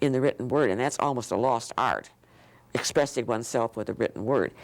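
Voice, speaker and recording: The speaker talks at a fairly quick pace with ordinary pitch variation on a very clean recording with a silent background. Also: woman. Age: 80s+. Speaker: children's book author. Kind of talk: interview. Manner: halting.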